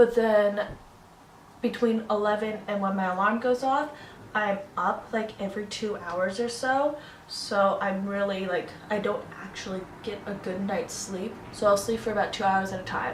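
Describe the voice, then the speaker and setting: With an American accent, a woman speaks at medium pitch and fairly even intonation, amid noticeable background noise and audible room echo. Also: moderate pace. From New England, US (Newton, Massachusetts). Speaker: beauty vlogger. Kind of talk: casual chat.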